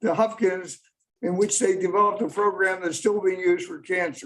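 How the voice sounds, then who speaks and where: A man's high-pitched voice at a moderate pace. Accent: American. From US Mid-Atlantic, Baltimore. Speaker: lawyer speaking at public comment. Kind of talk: public comment at council meeting. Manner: halting, repeats words.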